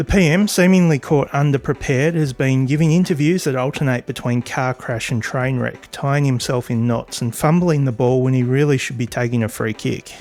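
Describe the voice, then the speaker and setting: With an Australian accent, a man talks at a fairly quick pace with ordinary pitch variation and hardly any pauses. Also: medium pitch for a man. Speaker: political commentator. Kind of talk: political commentary narration.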